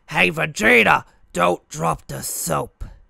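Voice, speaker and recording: Raspy and fairly slow, a man performs in a put-on character voice. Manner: joking, mocking.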